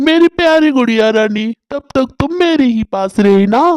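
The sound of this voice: A cartoonish character voice with a fairly high pitch moves at a fairly slow pace.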